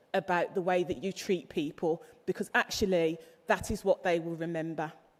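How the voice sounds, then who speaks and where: A woman with a Birmingham accent speaks at a moderate pace. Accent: Brummie. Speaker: graduation ceremony speaker. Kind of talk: commencement speech. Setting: graduation hall with audience.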